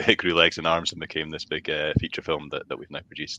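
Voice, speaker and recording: Speaking at a very fast pace, a man comes through with a dry, close sound and no echo. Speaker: charity worker. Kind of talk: casual interview chat.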